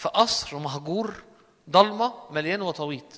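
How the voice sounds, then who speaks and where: A man's high voice in an Egyptian accent, with lively intonation. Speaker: preacher. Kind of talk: sermon.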